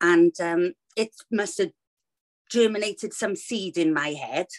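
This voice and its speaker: The speaker has a Welsh accent. The sound is dry and close, with no echo. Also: woman. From Wales. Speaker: children's author, former teacher. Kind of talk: interview.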